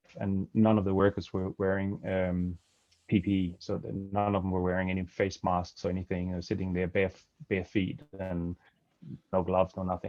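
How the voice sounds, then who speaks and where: A man with a Danish accent speaks at a very deep, low pitch. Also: fairly even intonation, fairly quick pace. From Denmark. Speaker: supply chain compliance consultant. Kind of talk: webinar presentation. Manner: halting, many fillers.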